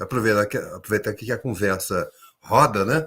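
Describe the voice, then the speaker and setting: On a very clean recording with a silent background, a somewhat breathy man speaks at a moderate pace, his pitch swinging very widely. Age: 60s. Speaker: education policy expert. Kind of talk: panel discussion.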